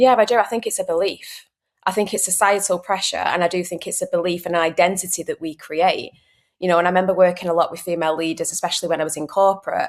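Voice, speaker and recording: A woman talks at a very fast pace with a Manchester accent. Her pitch is medium and her intonation fairly even. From northern England, Manchester. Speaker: mindset consultant, former airline cabin crew. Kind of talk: podcast interview.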